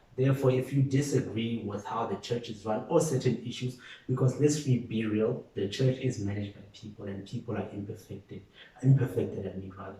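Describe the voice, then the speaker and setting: Speaking at a fairly quick pace, a man with an ordinary speaking voice keeps a medium pitch with ordinary pitch variation and big swings in loudness. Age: 20s. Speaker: guest on faith podcast. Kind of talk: casual chat.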